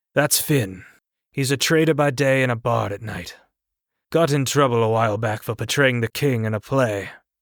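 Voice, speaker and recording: In a very clean recording with a silent background, a man does a put-on character voice that is gruff and rumbling, at a medium pitch and a moderate pace. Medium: read story. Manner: grumbling, blunt.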